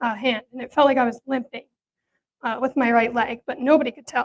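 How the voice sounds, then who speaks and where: A woman with an American accent talks at a fairly quick pace in a high, monotone, flat voice. The sound is dry and close, with no echo. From Pennsylvania, Allentown. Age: 20s. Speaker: patient advocate. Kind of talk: personal testimony speech. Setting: presentation to audience.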